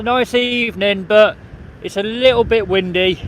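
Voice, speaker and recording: Shouting in a West Midlands accent comes with monotone, flat intonation over noticeable background noise. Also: man. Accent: English Midlands (Coventry). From England, Coventry. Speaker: vlogger. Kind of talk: live stream walking commentary. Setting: outdoors on a beach. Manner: loud, shouting over wind.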